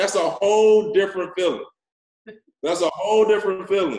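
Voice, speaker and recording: In a room with audible echo but a quiet background, a man talks at a fairly quick pace in a high pitch. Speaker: forex network marketing leader and social media influencer. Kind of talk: motivational training talk. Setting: video call. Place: office. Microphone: video call.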